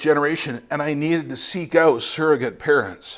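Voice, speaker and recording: Heard on a very clean recording with a silent background, a man with a Canadian accent and a normal speaking voice talks at a moderate pace and a fairly high pitch. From Canada, Ontario. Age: 50s. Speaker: missionary preacher. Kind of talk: sermon.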